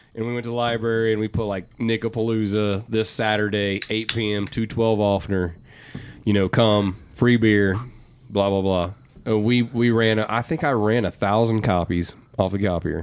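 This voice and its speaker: Speaking at a moderate pace, a man uses a plain, everyday voice with fairly low pitch and fairly even intonation. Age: 30s. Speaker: vintage clothing business owner. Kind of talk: casual chat.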